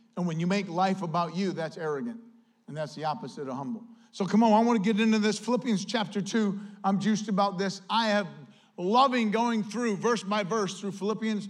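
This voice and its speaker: Audible room echo surrounds a man who talks at a fairly quick pace in a high voice with ordinary pitch variation. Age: 50s. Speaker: pastor. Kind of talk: sermon. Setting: church. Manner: animated.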